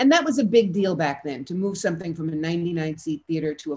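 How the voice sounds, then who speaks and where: A woman with a New York accent speaks at a very deep, low pitch over a quiet background. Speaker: actress and theater founder. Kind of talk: interview. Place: home room. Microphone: video call.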